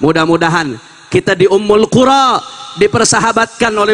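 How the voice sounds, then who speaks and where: The sound is dry and close with no echo, though noticeable background noise is present. Pitch varies in an ordinary way. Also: man. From Jakarta (Betawi), Indonesia. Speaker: Islamic preacher. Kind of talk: sermon. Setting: religious gathering at a boarding school.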